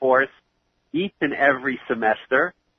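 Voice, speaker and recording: This voice has a New York accent and ordinary pitch variation. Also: man. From New York City (Queens). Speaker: 9/11 first responder, charity founder. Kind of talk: interview.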